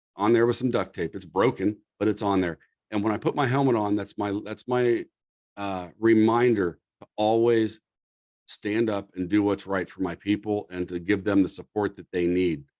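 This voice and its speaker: In a dry, close sound with no echo, a man with a plain, everyday voice speaks at a moderate pace, his fairly low pitch carried in fairly even intonation. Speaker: fire service leadership presenter. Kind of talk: lecture. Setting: video call.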